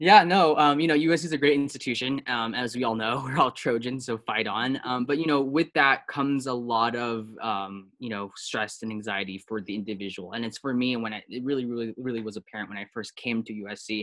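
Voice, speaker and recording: A man with an American accent and an unremarkable speaking voice talks at a fairly quick pace, with medium pitch and ordinary pitch variation. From Taiwan-born, raised in the US from age three. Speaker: app startup founder. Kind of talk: interview. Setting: video call.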